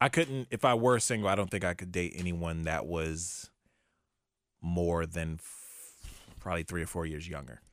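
A man with a very deep, low pitch, lively intonation, big swings in loudness and a moderate pace, on a very clean recording with a silent background. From Virginia. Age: 20s. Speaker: podcast co-host. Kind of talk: casual chat.

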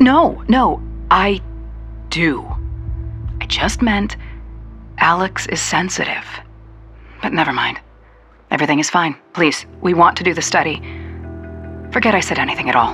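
Over clear music, a woman does a put-on character voice, raspy and fairly low, at a moderate pace with long, frequent pauses. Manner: nervous, rambling, evasive.

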